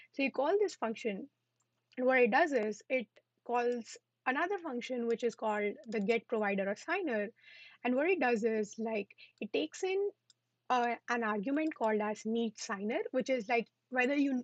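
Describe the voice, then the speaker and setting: Her voice sits high, the woman's intonation lively and the sound dry and close with no echo. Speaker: coding instructor. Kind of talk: tutorial. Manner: fast. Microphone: internet connection issues.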